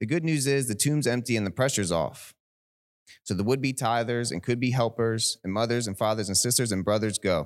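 A plain, everyday voice from a man, medium in pitch, at a fairly quick pace with ordinary pitch variation, on a very clean recording with a silent background. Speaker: poet sharing a poem at church. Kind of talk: spoken-word poem read aloud to a congregation, in a wry, sincere lament. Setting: church.

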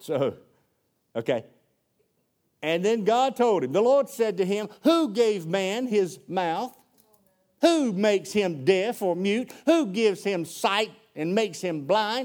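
Talking at a very slow pace with long, frequent pauses, a man in a Southern US accent uses a high pitch and lively intonation. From US South. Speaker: preacher. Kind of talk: sermon. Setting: church. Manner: animated.

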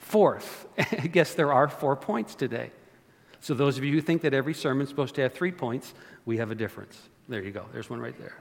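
Vocal fry and big swings in loudness from a man with a fairly high pitch and lively intonation. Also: fairly quick pace. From Canada. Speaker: pastor. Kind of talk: sermon. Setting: church. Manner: animated.

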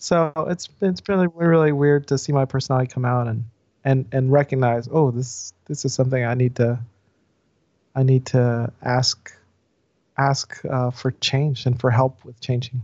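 Here is a man with an ordinary speaking voice and an American accent. His pitch is medium, with ordinary pitch variation. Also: moderate pace. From US South. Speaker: pastor. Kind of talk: casual interview conversation.

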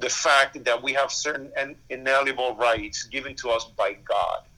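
Here is a man with a Spanish accent and a medium pitch. He speaks at a fairly quick pace with fairly even intonation. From Cuba. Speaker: pastor. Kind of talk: interview.

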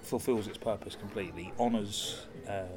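Fairly low-pitched man's voice, monotone and flat, at a fairly quick pace, with noticeable background noise and audible room echo. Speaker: podcast co-host. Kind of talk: casual chat. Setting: coffee shop in a gallery. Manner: soft-spoken.

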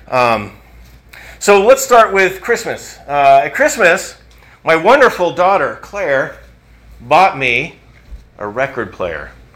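In a room with audible echo, a man with a high pitch speaks at a very slow pace, with very wide pitch swings and long, frequent pauses. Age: 50s. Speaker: pastor. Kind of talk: sermon. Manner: halting.

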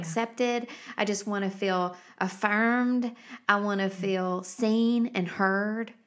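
A woman speaks in a normal speaking voice. Her intonation stays fairly even. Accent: American. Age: 40s. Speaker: podcast host. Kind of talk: casual chat.

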